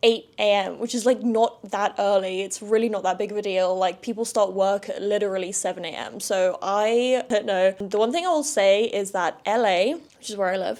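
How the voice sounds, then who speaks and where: A southern English accent with ordinary pitch variation. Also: woman. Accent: southern English (London area). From London suburbs, England. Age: 20s. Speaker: podcast host. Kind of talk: casual solo chat.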